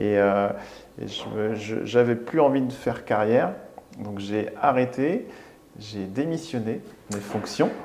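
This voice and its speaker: At a very slow pace, a man speaks at medium pitch with ordinary pitch variation and long, frequent pauses. Noticeable background noise and audible room echo fill the recording. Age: 40s. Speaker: restaurant owner. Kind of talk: interview. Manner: halting.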